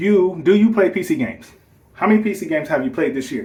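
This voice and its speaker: Animated and lively in intonation, a man talks at a fairly quick pace. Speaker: gaming YouTuber. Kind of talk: casual response video. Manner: fast.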